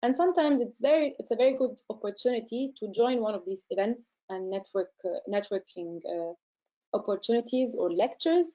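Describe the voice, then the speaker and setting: A woman talks at a fairly quick pace, her fairly high pitch carried by lively intonation. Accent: Arabic. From Egypt. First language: Arabic. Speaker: research centre director and scientist. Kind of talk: webinar Q&A. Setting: online webinar. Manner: hesitant, many fillers.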